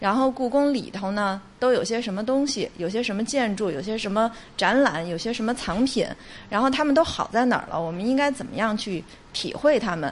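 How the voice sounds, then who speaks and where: A woman's fairly high pitch, with ordinary pitch variation and a fairly quick pace. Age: 40s. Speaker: museum digital department deputy director. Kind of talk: interview. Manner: hesitant with fillers.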